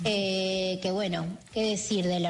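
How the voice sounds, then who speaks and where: Somewhat breathy, a woman speaks at a medium pitch and fairly slow pace in a monotone, flat intonation. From Argentina, Mar del Plata. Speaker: pianist and arranger. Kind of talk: interview. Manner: hesitant, many fillers.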